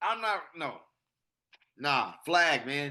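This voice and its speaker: Against a quiet background, a man speaks loudly in a bright, sharp, animated tone with ordinary pitch variation. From US West Coast, Pasadena, California. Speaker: podcast co-host. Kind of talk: casual chat.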